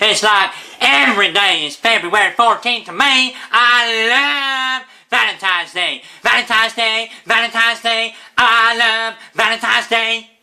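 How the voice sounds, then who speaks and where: A put-on character voice, raised and projected, at a moderate pace. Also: man, extremely high pitch for a man. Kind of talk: comedy sketch. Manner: upbeat, excited.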